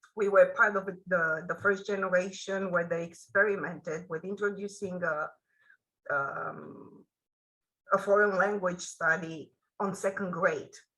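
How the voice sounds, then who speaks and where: A woman speaks in a Romanian accent at a fairly slow pace. Her tone is bright and sharp, her intonation fairly even. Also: medium pitch for a woman. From Romania, Bucharest. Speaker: author. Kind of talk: interview. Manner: halting.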